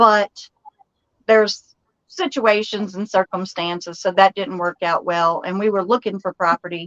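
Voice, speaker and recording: With a Southern US accent, a woman speaks at a medium pitch and moderate pace with fairly even intonation in a dry, close sound with no echo. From Texas, Dallas. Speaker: homesteader and channel host. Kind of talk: casual live-stream chat. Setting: live stream.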